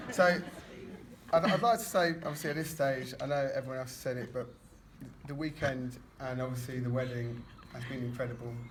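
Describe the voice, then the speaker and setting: At a fairly quick pace, a man with a British accent and medium pitch speaks with ordinary pitch variation and long, frequent pauses, amid audible room echo and noticeable background noise. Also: big swings in loudness. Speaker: best man at a wedding. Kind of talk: wedding speech. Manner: mumbling.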